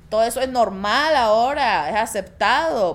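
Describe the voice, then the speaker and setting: With a Salvadoran accent, a woman speaks in a high voice with lively intonation. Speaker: podcast co-host. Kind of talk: casual chat.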